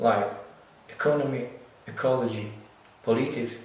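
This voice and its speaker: Over noticeable background noise and audible room echo, a man talks with a Ukrainian accent. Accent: non-native English, Ukrainian. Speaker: lecturer in theology and social economics. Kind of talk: lecture. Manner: halting.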